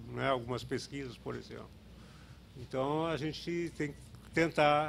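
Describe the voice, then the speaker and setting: Light background noise sits behind a man speaking at a moderate pace and a fairly high pitch with ordinary pitch variation. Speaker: health indicators researcher; speaker. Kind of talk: conference talk with slides. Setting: auditorium with audience. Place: hall. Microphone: podium.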